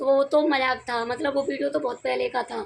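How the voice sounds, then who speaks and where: This woman's voice sits high in pitch. She speaks at a moderate pace. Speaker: vlogger. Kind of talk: casual vlog storytelling.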